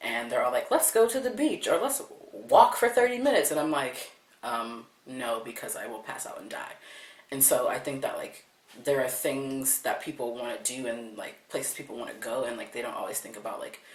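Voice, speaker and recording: A man at a fairly quick pace, big swings in loudness, audible room echo and noticeable background noise. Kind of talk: interview testimony. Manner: casual, hesitant with fillers.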